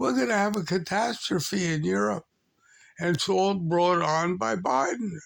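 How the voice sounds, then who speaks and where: Delivered at a fairly slow pace, the voice leaps through very wide pitch swings. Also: man. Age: 80s+. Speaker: video blogger. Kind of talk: political rant. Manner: animated.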